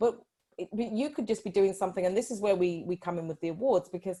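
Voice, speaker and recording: A woman with a Yorkshire accent, medium pitch, a dark, mellow tone, lively intonation and a fairly quick pace. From northern England, Yorkshire. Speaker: life coach. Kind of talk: interview.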